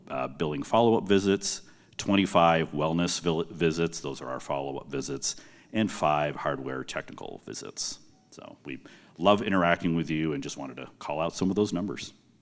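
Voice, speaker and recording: A loud man speaks with vocal fry at a very deep, low pitch and a moderate pace, with ordinary pitch variation. The recording is very clean, with a silent background. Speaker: project manager at a software company. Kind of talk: conference presentation.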